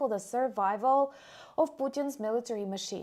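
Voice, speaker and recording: A woman's high-pitched voice with ordinary pitch variation at a moderate pace. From Ukraine. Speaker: military news commentator. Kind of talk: news commentary.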